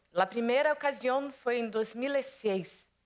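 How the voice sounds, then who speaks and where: A woman talking at a very slow pace. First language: Portuguese (speaking Spanish). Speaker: development bank executive. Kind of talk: panel presentation. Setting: conference stage with audience. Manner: hesitant, with fillers.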